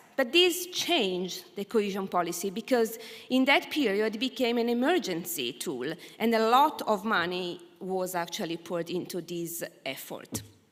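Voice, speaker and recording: A woman with an Italian accent speaks at a moderate pace and medium pitch, her voice making very wide pitch swings. Noticeable background noise is present. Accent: Italian, unchanged. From Italy. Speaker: academic researcher. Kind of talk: conference presentation.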